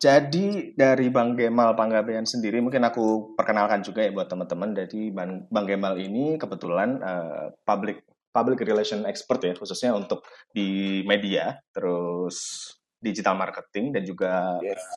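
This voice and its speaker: A man speaks in an unremarkable speaking voice at a moderate pace. His pitch is fairly low, with ordinary variation. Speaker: podcast host. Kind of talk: casual talk-show discussion. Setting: live audio room online.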